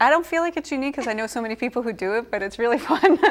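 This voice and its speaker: A woman with a New England accent speaks with lively intonation. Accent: New England American. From Worcester, Massachusetts. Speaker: teacher and entrepreneur. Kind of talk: interview.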